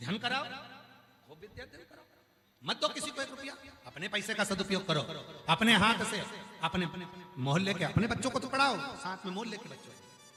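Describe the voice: A man speaks at a fairly quick pace in a high voice, his bright, sharp tone swinging widely in pitch.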